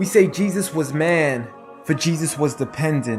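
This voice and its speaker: With music in the background, a man speaks fairly slowly at a fairly high pitch. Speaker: spoken word poet. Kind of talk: spoken word poetry performance.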